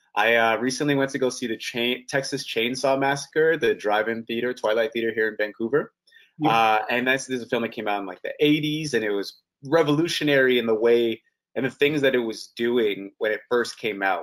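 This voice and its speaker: Speaking in a normal speaking voice with a Canadian accent, a man keeps a medium pitch, ordinary pitch variation and a fairly quick pace. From Canada. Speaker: actor. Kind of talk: casual interview.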